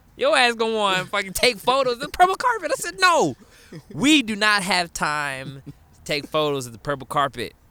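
With very wide pitch swings, a man talks in a raised, projected voice, high in pitch, at a moderate pace. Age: 30s. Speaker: yoga instructor and online community founder. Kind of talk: casual chat.

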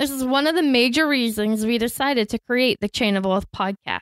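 With an unremarkable speaking voice, a woman talks with an American accent at a fairly quick pace and lively intonation, on a very clean recording with a silent background and a dry, close sound with no echo. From Florida, US. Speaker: podcast co-host, trained teacher. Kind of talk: scripted podcast introduction.

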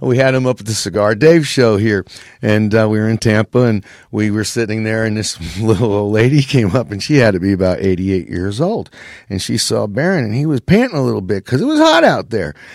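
At a fairly quick pace, a man talks in an unremarkable speaking voice, fairly low in pitch, with ordinary pitch variation. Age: 50s. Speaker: dog breeder. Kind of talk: casual chat.

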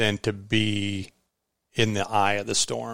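Speaking very slowly, a man with an American accent has a fairly low pitch. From Iowa. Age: 50s. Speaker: endurance fat-bike racer. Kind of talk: casual chat. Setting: home kitchen.

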